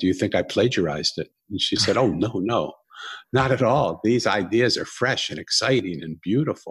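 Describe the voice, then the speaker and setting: Breathiness is somewhat present in this man's voice. Nothing intrudes on the very clean recording, whose background is silent. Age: 60s. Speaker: author. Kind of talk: interview.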